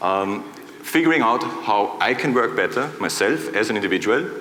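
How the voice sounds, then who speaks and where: A man speaks with noticeable background noise. Room echo is audible. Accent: Austrian. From Austria, Vienna. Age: 40s. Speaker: conference speaker. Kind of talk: keynote talk. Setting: stage with audience.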